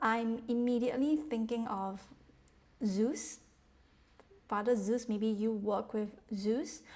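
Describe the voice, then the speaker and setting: Speaking at a very slow pace with long, frequent pauses, a woman with a non-native accent uses a fairly high pitch and ordinary pitch variation. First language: not English. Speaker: tarot reader. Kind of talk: tarot reading monologue. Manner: halting.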